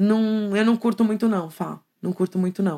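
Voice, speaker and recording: A woman with a plain, everyday voice talks at a moderate speed, her medium pitch carrying fairly even intonation. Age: 50s. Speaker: art teacher. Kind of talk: casual chat.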